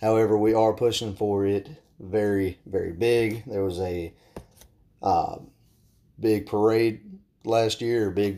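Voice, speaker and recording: A man with a Southern US accent, fairly low pitch, dark, mellow tone, monotone, flat intonation and a fairly slow pace. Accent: Southern American. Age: 20s. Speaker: podcast host and firearms instructor. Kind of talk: solo podcast monologue.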